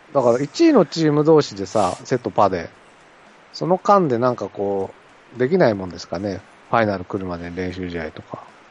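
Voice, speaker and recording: A man's plain, everyday voice, fairly low in pitch, with lively intonation, a fairly quick pace and big swings in loudness. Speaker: baseball podcast co-host. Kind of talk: casual chat.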